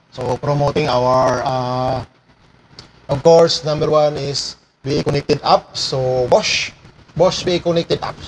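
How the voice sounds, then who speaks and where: A man speaks at a very slow pace with fairly even intonation, over light background noise. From Philippines. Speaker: power tools technician and live streamer; power tool trainer. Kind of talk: livestream tutorial. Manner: casual, with many fillers. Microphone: sound distorted, setup changed; lapel.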